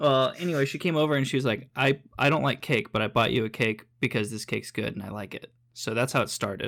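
Speaking very fast with hardly any pauses, a man at medium pitch shows vocal fry and ordinary pitch variation on a very clean recording with a silent background. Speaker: podcast host. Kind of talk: casual banter podcast. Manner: filler-heavy, jokey.

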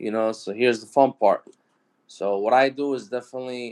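A man talks at a fairly quick pace in a New York accent. His intonation is monotone and flat. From New York City (Brooklyn, Queens). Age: 20s. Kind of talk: casual interview.

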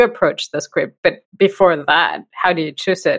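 A woman talks at a moderate pace in a normal speaking voice. Her pitch is medium. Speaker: podcast host. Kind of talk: interview conversation.

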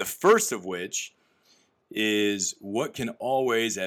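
A man with an American accent talks in an unremarkable speaking voice at a fairly low pitch, with ordinary pitch variation. The recording is very clean, with a silent background. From US Midwest. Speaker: podcast host, company employee. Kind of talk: casual interview.

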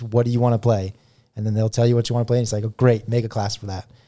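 This man's voice has a dark, mellow tone. The background is silent in a very clean recording. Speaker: tabletop gaming podcast host. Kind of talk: casual banter.

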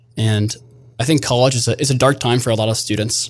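An unremarkable speaking voice with an American accent, at a fairly quick pace. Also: man. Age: 20s. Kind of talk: interview.

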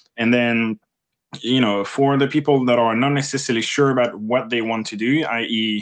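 A man in a French accent, medium in pitch, with fairly even intonation. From France. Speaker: interviewer, space host. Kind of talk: casual interview. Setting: Twitter Spaces live audio.

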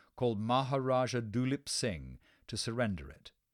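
On a very clean recording with a silent background, the speaker goes at a fairly slow pace. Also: man. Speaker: narrator. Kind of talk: scripted history narration for children. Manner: clear, measured, storytelling delivery; formal, explanatory, mildly dramatic.

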